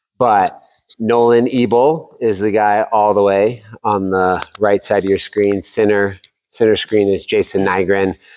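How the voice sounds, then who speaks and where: With an American accent and an ordinary speaking voice, a man speaks at a fairly slow pace in a fairly low pitch, with fairly even intonation and very even loudness. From Oklahoma and Texas, then Colorado from eighth grade. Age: 40s. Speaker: podcast host and realtor being interviewed. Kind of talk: casual interview.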